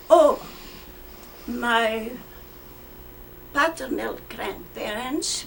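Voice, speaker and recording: A high-pitched woman at a very slow pace, lively in intonation, with noticeable background noise. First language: Flemish. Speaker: war-era civilian interviewee. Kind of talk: oral history interview. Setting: museum.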